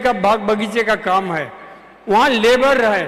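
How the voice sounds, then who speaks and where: Over noticeable background noise, a man talks at an extremely high pitch with ordinary pitch variation. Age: 80s+. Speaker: retired lawyer giving health testimony. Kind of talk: testimony.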